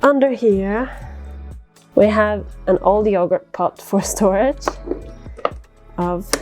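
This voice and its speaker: Relaxed, very slow speech broken by long, frequent pauses, with music in the background. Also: woman. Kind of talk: casual talk to camera. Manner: relaxed, chatty.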